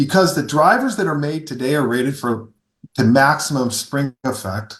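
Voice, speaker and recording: A somewhat breathy man with lively intonation at a moderate pace. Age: 60s. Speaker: golf equipment company founder, former long drive competitor. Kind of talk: podcast interview. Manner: animated.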